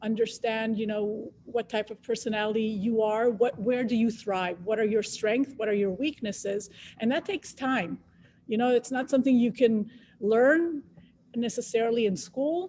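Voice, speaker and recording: A woman speaks at a moderate pace with a slight Israeli accent and a dark, mellow tone. Her pitch is fairly high, with ordinary variation. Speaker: biotech scientist, panelist. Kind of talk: panel discussion on careers.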